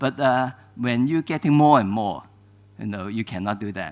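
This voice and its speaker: A man with a Cantonese accent speaks at a medium pitch with lively intonation. The background is quiet. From Hong Kong. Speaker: archivist. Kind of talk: lecture. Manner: halting, many fillers.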